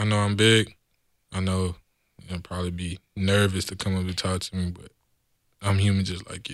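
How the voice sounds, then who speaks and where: Recorded very cleanly against a silent background, this American-accented voice moves at a moderate pace. Its intonation stays flat and monotone, broken by long, frequent pauses. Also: man, very deep, low pitch for a man. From Texas, San Antonio. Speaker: football player. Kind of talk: casual chat.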